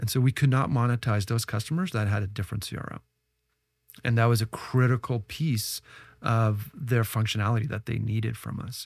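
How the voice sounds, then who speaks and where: A somewhat breathy man with a Canadian accent and ordinary pitch variation, on a very clean recording with a silent background. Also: medium pitch for a man, fairly quick pace. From Canada, Ottawa. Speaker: tech entrepreneur and investor. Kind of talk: podcast interview.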